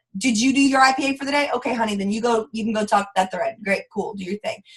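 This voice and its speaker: A woman speaks with a Southern US accent. Her pitch is high. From US South. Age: 20s. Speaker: network marketing leader. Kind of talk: live training call. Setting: conference call.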